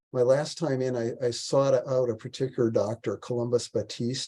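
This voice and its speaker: A man's voice is heard. It carries a dark, mellow tone. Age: 60s. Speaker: health speaker, heart attack survivor. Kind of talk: presentation. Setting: video call.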